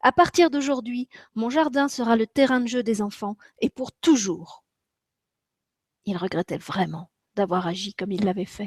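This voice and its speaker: A woman with lively intonation and a somewhat breathy voice, long, frequent pauses, in a dry, close sound with no echo. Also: fairly high pitch for a woman, fairly slow pace. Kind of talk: children's story reading.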